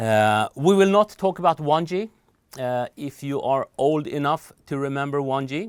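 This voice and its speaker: Lively intonation at a fairly slow pace, with a Swedish accent and a dry, close sound with no echo. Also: man, fairly high pitch for a man. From Sweden. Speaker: telecom trainer. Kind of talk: recorded lecture. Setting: studio. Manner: hesitant, many fillers.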